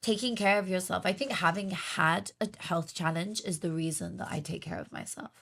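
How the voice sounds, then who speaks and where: A woman speaks at a moderate pace with hardly any pauses. Her pitch is fairly low, with ordinary variation. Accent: British. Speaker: podcast host. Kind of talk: casual interview chat. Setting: studio.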